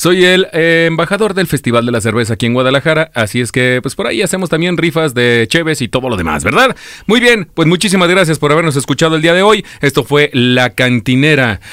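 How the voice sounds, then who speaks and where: Barely pausing, a man talks at a fairly quick pace in an animated, bright, sharp tone with lively intonation. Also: fairly high pitch for a man. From Michoacán, Mexico. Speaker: radio host. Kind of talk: casual chat.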